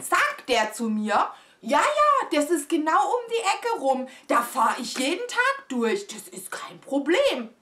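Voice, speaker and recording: A woman projects a raised voice at a high pitch, her pitch swinging very widely. Her tone is dramatic and animated. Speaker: vlogger. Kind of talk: storytelling, casual vlog chat to camera. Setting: home video. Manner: animated, chatty, exclamatory, mixes in English phrases; excitable, dramatic, confiding. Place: home room.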